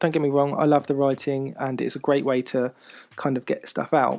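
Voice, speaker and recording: A man's fairly high-pitched voice with a dark, mellow tone, fairly even intonation and a moderate pace. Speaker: podcast host. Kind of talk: personal monologue podcast. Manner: hesitant, many fillers.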